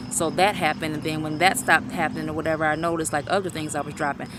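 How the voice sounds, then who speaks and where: A woman speaks in a very deep, low pitch. Noticeable background noise runs underneath. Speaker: vlogger. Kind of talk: personal vlog testimony. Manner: fast.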